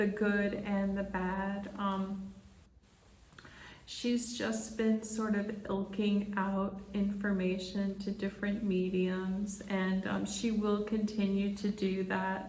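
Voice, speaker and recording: A woman speaks in a calm tone at a very slow pace, her intonation monotone and flat, with audible room echo and noticeable background noise. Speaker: spiritual medium. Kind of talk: channeling session monologue. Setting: conference room.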